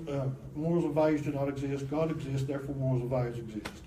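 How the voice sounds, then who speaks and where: A man talks at a very fast pace with a fairly high pitch. Noticeable background noise and audible room echo are present. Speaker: apologetics teacher. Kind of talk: lecture. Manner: animated.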